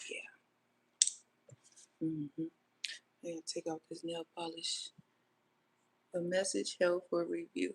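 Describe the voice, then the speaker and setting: A woman talks at a fairly slow pace with long, frequent pauses, in a dry, close sound with no echo. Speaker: lifestyle vlogger. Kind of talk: casual livestream chat. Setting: livestream while doing makeup. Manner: low-volume, relaxed.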